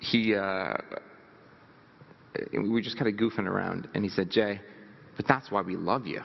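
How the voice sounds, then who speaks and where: Over noticeable background noise, a man with a fairly low voice speaks in a nervous tone with fairly even intonation. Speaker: motivational speaker. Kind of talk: motivational talk. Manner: fast; nervous laugh, throat clearing.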